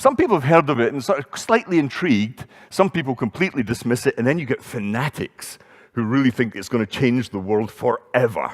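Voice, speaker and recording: The sound is dry and close, with no echo. A man with a medium pitch talks at a fairly quick pace. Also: lively intonation. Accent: Scottish. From Scotland, Edinburgh. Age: 60s. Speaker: conference speaker, entrepreneur. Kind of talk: conference talk. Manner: conversational.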